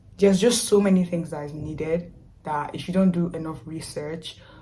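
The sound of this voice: A woman with a low voice and a dark, mellow tone speaks with fairly even intonation amid audible room echo. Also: moderate pace.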